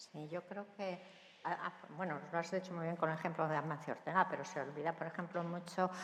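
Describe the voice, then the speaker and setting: A woman talks at a moderate pace in a fairly low pitch, her intonation monotone and flat. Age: 70s. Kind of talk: panel discussion.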